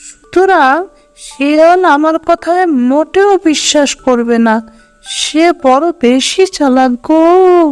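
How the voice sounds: A cartoonish character voice speaks at a high pitch and a very slow pace, with faint music in the background.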